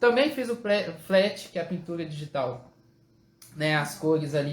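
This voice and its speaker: This man speaks at a high pitch. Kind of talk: live stream hosting. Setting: live stream.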